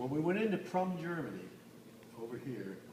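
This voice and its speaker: A man talks at a moderate pace with very wide swings in pitch. There's audible room echo and noticeable background noise. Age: 80s+. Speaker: war veteran. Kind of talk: testimony. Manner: halting.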